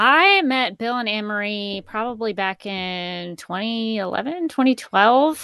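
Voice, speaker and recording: A woman in a Southern US accent, fairly high-pitched, with a bright, sharp tone, ordinary pitch variation, a very slow pace, hardly any pauses and a quiet background. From Alabama, US South. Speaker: voice actor, former TV news worker. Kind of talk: casual chat.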